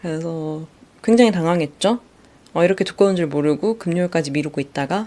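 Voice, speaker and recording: Talking at a fairly quick pace, a woman has a dark, mellow tone and a fairly low pitch. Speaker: solo podcaster. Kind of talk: casual monologue. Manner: hesitant, many fillers.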